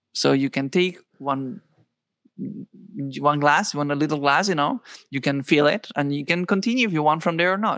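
With a Spanish accent, the speaker goes at a moderate pace on a very clean recording with a silent background. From Spain. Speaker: shaman and healer. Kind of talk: casual interview chat.

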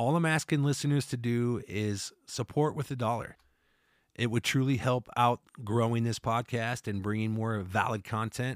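A man with an American accent speaks at a moderate pace, medium in pitch with fairly even intonation, in a plain, everyday voice. The recording is very clean with a silent background, dry and close with no echo. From Iowa, US Midwest. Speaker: podcast host and musician. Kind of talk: podcast outro announcement; casual interview chat.

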